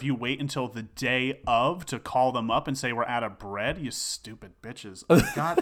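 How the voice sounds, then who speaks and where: A man at a moderate pace with hardly any pauses, over noticeable background noise. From New Jersey. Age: 30s. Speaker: actor and singer. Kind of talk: casual chat. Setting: host's home.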